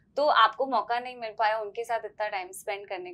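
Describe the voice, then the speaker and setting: With a bright, sharp tone, a woman speaks at a moderate pace. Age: 30s. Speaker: podcast host. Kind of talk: interview; interview question. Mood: warm, lively, curious. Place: studio.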